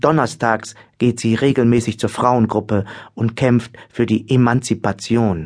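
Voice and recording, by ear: The voice reads aloud naturally. Its intonation stays fairly even.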